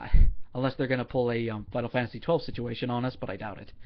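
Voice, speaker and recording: With lively intonation, a man delivers his words at a fairly quick pace. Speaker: gaming video commentator. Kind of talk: casual commentary. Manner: fast, with many fillers.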